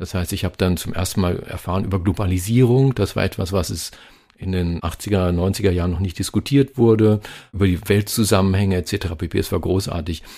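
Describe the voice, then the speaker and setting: With a dark, mellow tone and a very deep, low pitch, a man speaks at a moderate pace with fairly even intonation. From Germany, Lower Saxony (Hameln area). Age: 50s. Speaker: radio host and journalist. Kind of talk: interview. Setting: video call.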